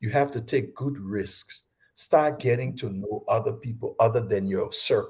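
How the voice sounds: Speaking at a fairly slow pace, a man with a fairly low pitch and a slightly mellow tone shows ordinary pitch variation.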